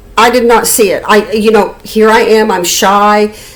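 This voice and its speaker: Over noticeable background noise, the speaker goes at a fairly slow pace. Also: woman. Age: 60s. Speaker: YouTuber. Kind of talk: personal storytelling. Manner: halting, many repeated words.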